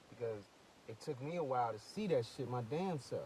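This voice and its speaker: Somewhat breathy and with a dark, mellow tone, a man speaks in a Brooklyn accent. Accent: New York, Brooklyn. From New York, Brooklyn (Flatbush). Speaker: rap artist. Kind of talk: casual monologue vlog. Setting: in a car. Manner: animated.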